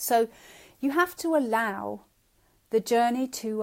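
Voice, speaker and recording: A woman with a South London accent at a very slow pace, with ordinary pitch variation, on a very clean recording with a silent background. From South London, England. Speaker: spiritual teacher / shamanic practitioner. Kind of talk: live-streamed teaching. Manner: halting, with many fillers and repetitions.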